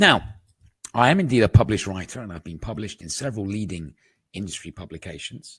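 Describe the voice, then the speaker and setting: A man with a British accent, somewhat breathy, at a very fast pace with ordinary pitch variation. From England. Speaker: market analyst, trading educator. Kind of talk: webinar presentation. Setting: online webinar.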